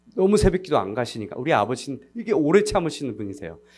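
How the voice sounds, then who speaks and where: Vocal fry marks this voice with a non-native accent, heard on a very clean recording with a silent background. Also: man. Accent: non-native Korean, somewhat unfluent. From United States, Korean diaspora. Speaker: missionary. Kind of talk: sermon. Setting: church service. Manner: halting, frequent self-corrections.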